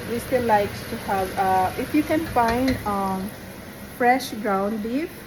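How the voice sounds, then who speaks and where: Very slow speech in a Visayan accent, with ordinary pitch variation, audible room echo and noticeable background noise. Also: woman, fairly high pitch for a woman. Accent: Filipino (Visayan). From Philippines, Visayas. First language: Bisaya (Cebuano). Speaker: home cook vlogger. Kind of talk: cooking tutorial. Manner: halting, many fillers.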